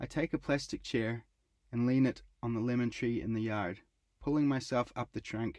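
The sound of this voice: Fairly even intonation marks an unforced reading voice heard over a quiet background.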